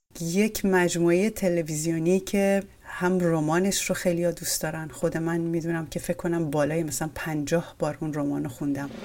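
Woman speaking at a fairly low pitch with fairly even intonation over noticeable background noise. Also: moderate pace. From Iran. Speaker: podcast host. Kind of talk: interview.

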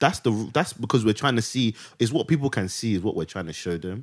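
In an ordinary speaking voice, a man of medium pitch talks at a fairly quick pace with lively intonation, on a very clean recording with a silent background. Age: 20s. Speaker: podcast co-host, guest. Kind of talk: casual chat.

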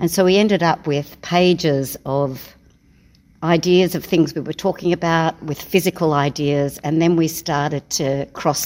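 Speaking with an Australian accent, a woman keeps a moderate pace and fairly even intonation. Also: very clean recording, silent background. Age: 60s. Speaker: circus performer. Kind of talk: interview.

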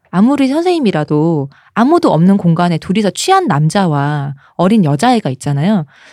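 A woman speaks at a fairly quick pace with very wide pitch swings. The sound is dry and close, with no echo. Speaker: podcast co-host. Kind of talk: casual chat.

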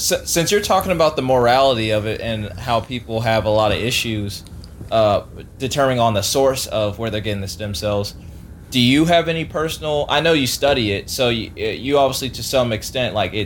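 Speaking fairly quickly, a man with an ordinary speaking voice uses a medium pitch and lively intonation. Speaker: podcast co-host. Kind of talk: casual banter interview.

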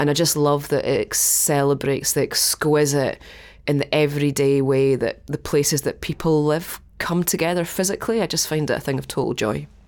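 In a Scottish accent, a woman with a very deep, low pitch speaks at a fairly quick pace with fairly even intonation on a very clean recording with a silent background. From Dundee, Scotland. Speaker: museum director. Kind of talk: interview conversation.

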